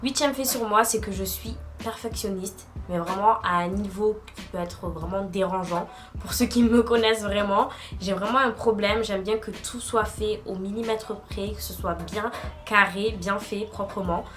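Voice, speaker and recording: A woman talks at a fairly slow pace with fairly even intonation. Her loudness swings widely over noticeable background noise. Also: medium pitch for a woman. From southern France, Marseille. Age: 20s. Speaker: YouTuber, student. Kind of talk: casual vlog monologue. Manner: deliberately slowed pace, frequent hesitations.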